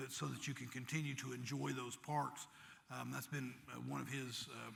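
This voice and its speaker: Audible room echo surrounds the recording. A man talks at a moderate pace. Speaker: mayor. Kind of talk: panel discussion. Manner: halting, repeats words.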